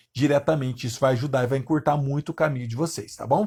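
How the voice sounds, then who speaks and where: Somewhat breathy and fairly high-pitched, a man talks at a fairly quick pace. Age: 30s. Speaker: guitar teacher. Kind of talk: live online lesson. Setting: Instagram livestream.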